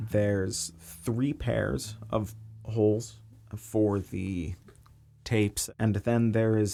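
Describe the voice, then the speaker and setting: Soft-spoken and very slow, a man talks with a fairly low pitch, a dark, mellow tone and ordinary pitch variation. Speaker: bookbinder and craft video maker. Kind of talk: craft-along voiceover. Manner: soft, quiet, ASMR-like.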